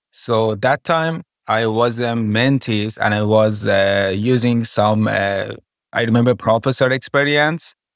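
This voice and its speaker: In an Iranian accent, a man speaks at a fairly slow pace. His loudness stays very even. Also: medium pitch for a man, ordinary pitch variation, very clean recording, silent background. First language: Persian.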